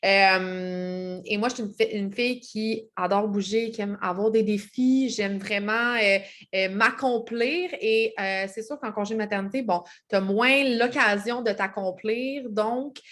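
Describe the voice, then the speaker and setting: With a Quebec accent, a woman speaks at a very slow pace. Her pitch is fairly high. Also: ordinary pitch variation, very clean recording, silent background. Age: 30s. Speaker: network marketing seller. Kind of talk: vlog self-introduction. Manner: hesitant, many fillers.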